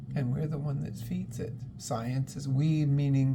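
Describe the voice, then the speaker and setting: Moderate pace over noticeable background noise. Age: 60s. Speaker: spiritual channel host. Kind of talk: spiritual monologue.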